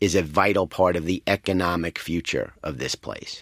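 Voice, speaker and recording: Recorded dry and close with no echo, a man with a New York accent speaks at a fairly slow pace. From New York City. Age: 50s. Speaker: advertising executive. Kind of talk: interview. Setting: studio.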